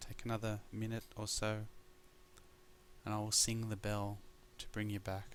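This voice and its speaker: With an Australian accent, a man speaks in a relaxed tone at a fairly low pitch and moderate pace, his intonation monotone and flat, with long, frequent pauses. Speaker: mindfulness teacher. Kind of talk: guided meditation course talk.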